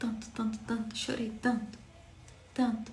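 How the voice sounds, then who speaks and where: Audible room echo surrounds the recording. The woman speaking has a medium-pitched voice. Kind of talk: devotional sermon. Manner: passionate.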